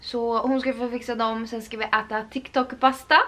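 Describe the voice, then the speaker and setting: Speaking at a fairly slow pace, a woman is heard. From Sweden. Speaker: lifestyle vlogger; vlogger. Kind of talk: casual vlog chat. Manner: animated. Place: home room. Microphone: camera far.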